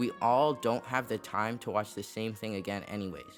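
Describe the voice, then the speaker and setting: Over music in the background, a man talks in a fairly low pitch. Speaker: video essayist. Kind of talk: video essay narration.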